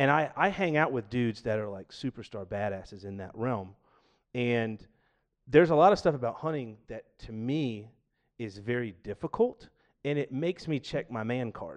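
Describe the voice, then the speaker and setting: A man with an American accent has a normal speaking voice at a medium pitch. His intonation is lively, his pace moderate, and his loudness swings widely. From US South, Georgia. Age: 40s. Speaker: podcast guest, aspiring podcaster and powerlifter. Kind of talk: casual chat. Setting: studio, live-streamed podcast.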